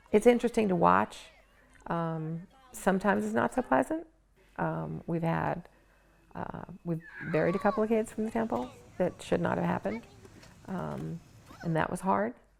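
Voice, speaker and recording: Moderately paced speech from a woman, broken by long, frequent pauses. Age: 60s. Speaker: math teacher and synagogue finance manager. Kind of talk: documentary interview. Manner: hesitant, many fillers.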